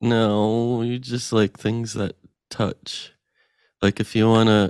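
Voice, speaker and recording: The sound is dry and close, with no echo. A man talks very slowly. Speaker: comedy podcast co-host. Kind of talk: casual comedic game-show chat. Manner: playful.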